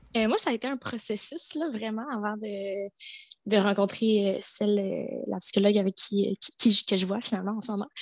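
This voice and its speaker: A woman's plain, everyday voice, medium in pitch, with ordinary pitch variation at a moderate pace, dry, close sound with no echo. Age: 20s. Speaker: dance and yoga teacher. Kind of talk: testimony.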